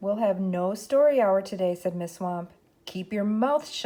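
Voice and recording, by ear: Someone is reading text aloud. The delivery sounds natural.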